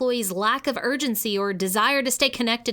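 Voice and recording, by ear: With pitch that moves in an ordinary way, the text gets read out in a natural voice.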